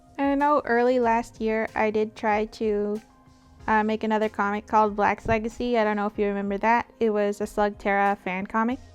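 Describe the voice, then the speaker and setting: A woman talks at a fairly quick pace in a monotone, flat intonation. Music plays behind her. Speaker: webcomic artist. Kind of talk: casual chat. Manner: unscripted, halting with fillers.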